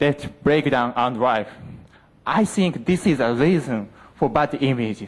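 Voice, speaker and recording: With lively intonation, a man talks in an ordinary speaking voice. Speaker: university student. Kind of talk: presentation contest speech.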